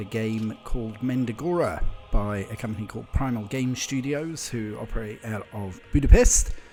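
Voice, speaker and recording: A man's medium-pitched voice with hardly any pauses and big swings in loudness, music playing in the background. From New Zealand. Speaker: video game streamer. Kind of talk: casual game review voiceover.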